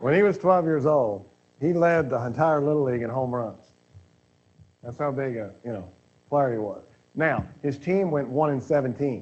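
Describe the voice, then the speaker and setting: Speaking with a Kentucky accent, a man uses a fairly high pitch with ordinary variation. He leaves long, frequent pauses. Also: moderate pace. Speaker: speaker. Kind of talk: Q&A talk.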